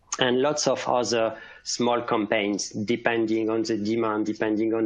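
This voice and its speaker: A man with a French accent in a monotone, flat delivery. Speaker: cybersecurity specialist. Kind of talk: conference presentation. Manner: halting.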